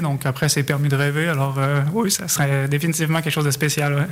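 Speaking in a Quebec accent at a very fast pace, a man uses a fairly high pitch and monotone, flat intonation. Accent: Québécois. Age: 30s. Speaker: amateur runner. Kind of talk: radio interview.

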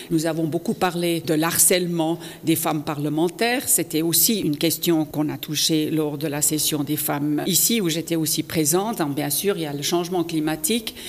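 A woman with a German accent speaks at a very deep, low pitch, with fairly even intonation and hardly any pauses. Noticeable background noise runs underneath. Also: moderate pace. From Switzerland, canton of Fribourg. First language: German (speaking French). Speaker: politician. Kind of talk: interview. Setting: parliament building.

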